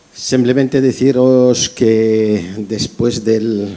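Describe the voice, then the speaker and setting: The voice carries a dark, mellow tone. Delivery is very slow. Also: man. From Algeria. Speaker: festival organizer; event moderator. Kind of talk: announcement. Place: hall.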